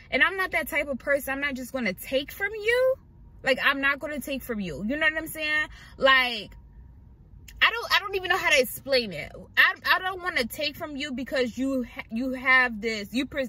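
A woman speaks in a raised, projected voice, the sound dry with no echo. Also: moderate pace. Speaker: vlogger living in her car. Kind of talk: casual vlog chat. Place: car. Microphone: phone near.

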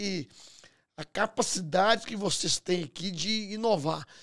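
A high-pitched man's voice with ordinary pitch variation against a quiet background. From Brazil, Minas Gerais. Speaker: podcast host and entrepreneur; podcast host. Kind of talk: interview conversation. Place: studio. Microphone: studio mic.

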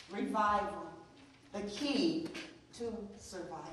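A woman's voice carries strong room echo along with light background noise. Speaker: preacher. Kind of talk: sermon prayer. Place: church.

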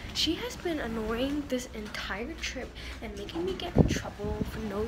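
A woman speaks at a moderate pace. Loud background noise runs behind her. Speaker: vlogger. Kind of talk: casual vlog chat. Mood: annoyed venting. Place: boat. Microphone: phone near.

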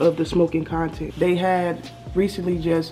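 A woman at a moderate pace, fairly low-pitched, in a monotone, flat intonation, with faint music in the background. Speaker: YouTuber. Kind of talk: casual Q&A vlog chat. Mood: subdued, reflective. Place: home room. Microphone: webcam.

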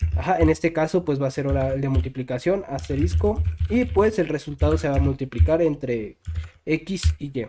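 Music plays in the background as a man talks at a moderate pace. His medium-pitched voice swings very widely in pitch. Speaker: programming YouTuber. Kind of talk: tutorial. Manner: halting, many fillers.

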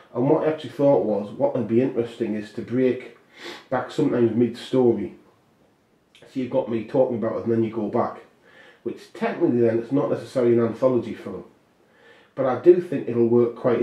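At a very fast pace, a man talks in a somewhat breathy voice of medium pitch with ordinary pitch variation. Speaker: filmmaker and author. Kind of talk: casual monologue about a film project. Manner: rambling, halting, with many fillers.

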